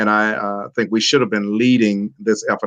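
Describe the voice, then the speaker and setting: The speech comes at a very fast pace, with a dry, close sound and no echo. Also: man. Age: 60s. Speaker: pastor. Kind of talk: panel discussion. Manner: measured, frequent filler uhs.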